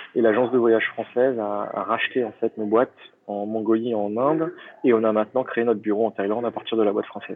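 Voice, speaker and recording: A man at a very fast pace, fairly even in intonation, over noticeable background noise. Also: medium pitch for a man. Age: 30s. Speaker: travel entrepreneur. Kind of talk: interview.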